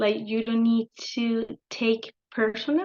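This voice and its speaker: A woman with a Spanish accent and a fairly high pitch. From Colombia, Bogota. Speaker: engineering director. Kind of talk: interview. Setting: video call. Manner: halting.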